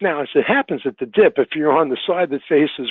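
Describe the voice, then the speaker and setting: Here is a normal speaking voice from a man. He talks at a fairly quick pace and a fairly high pitch. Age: 60s. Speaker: travel industry consultant. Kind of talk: webinar presentation. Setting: online webinar.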